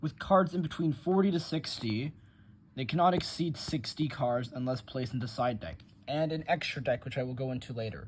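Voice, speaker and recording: A man's somewhat breathy voice at a moderate pace. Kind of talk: casual tutorial explanation.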